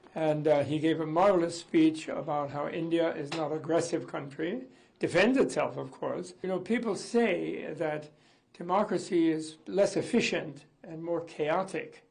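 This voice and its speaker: A man with a high pitch speaks at a moderate pace and ordinary pitch variation, with audible room echo. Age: 80s+. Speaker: interviewee commenting on a political leader. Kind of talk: interview.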